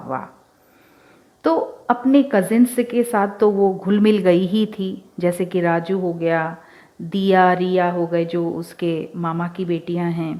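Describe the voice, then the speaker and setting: This is a woman with an ordinary speaking voice. Her pitch is medium, with ordinary pitch variation. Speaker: radio show host and author. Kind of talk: radio show storytelling narration. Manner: casual, conversational.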